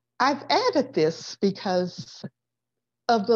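A woman with an American accent and a normal speaking voice, lively in intonation and fairly slow in pace, over a quiet background. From Florida. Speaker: guest lecturer on food history. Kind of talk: lecture. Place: home room. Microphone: webcam.

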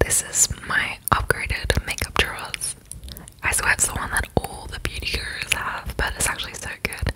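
Amid noticeable background noise, a woman whispers at a moderate pace. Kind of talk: ASMR apartment tour voiceover. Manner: whispered, soft.

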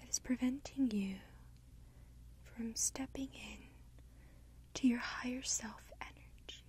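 Soft-spoken, a woman is heard in a dry recording with no echo. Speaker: guided session host. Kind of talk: soft-spoken guided meditation. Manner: soft, slow ASMR murmur.

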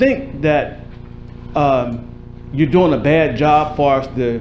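A man speaks at a slow pace. His voice is fairly high-pitched, with a slightly mellow tone.

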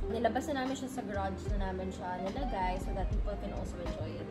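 Loud music plays in the background. Over it, a woman talks at a fairly quick pace. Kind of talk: interview answer. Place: cafe. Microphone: camera far.

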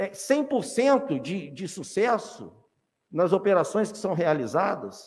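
At a very slow pace, a man speaks in a high pitch with lively intonation. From Valença area, Rio de Janeiro state, Brazil; Rio de Janeiro state, Brazil. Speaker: city councilman. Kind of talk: legislative session speech. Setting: council chamber. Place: hall. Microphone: podium.

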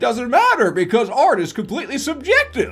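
A put-on character voice speaks at a fairly high pitch and a fairly quick pace. Faint music plays in the background. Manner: peppy, cartoonish.

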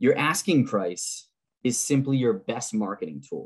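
Quiet surrounds a voice whose intonation is lively. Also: man. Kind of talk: presentation lecture. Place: home room. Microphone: webcam.

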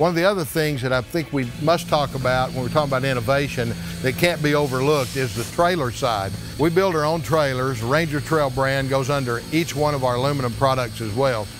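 A man at a fairly quick pace over clear music in the background. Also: ordinary pitch variation. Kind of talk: promotional tour presentation. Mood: proud, confident. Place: factory.

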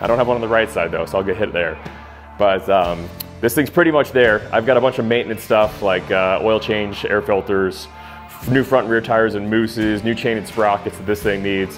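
A man talks at a fairly quick pace with a fairly low pitch. His pitch varies in an ordinary way, with faint music in the background. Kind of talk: casual vlog chat. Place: garage.

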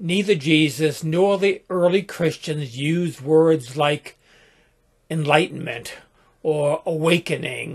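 Against a quiet background, a man speaks at a very slow pace with ordinary pitch variation. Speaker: spiritual teacher. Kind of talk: reflective talk. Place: home room. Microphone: webcam.

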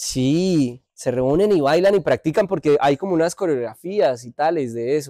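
Dry and close with no echo, a man speaks at a fairly slow pace in a dark, mellow tone, with a fairly high pitch and ordinary pitch variation. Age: 30s. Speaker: podcast co-host. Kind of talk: casual chat.

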